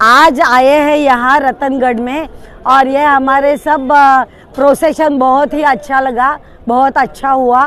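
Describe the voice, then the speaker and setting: A high-pitched woman's voice in a monotone, flat intonation. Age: 70s. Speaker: retired mathematics professor, cyclist. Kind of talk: interview. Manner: halting.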